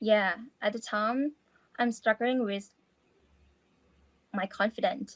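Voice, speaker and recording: Very slowly and with long, frequent pauses, a woman with a Thai accent speaks at a fairly high pitch in a somewhat breathy voice with fairly even intonation, in a dry, close sound with no echo. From Thailand. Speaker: language student. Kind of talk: interview. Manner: halting.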